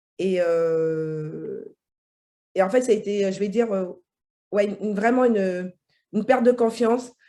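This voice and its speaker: Delivery is fairly slow. Long pauses come often. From French Guiana. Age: 40s. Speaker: IT incident manager, coaching client. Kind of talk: testimony interview. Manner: halting, many hesitations.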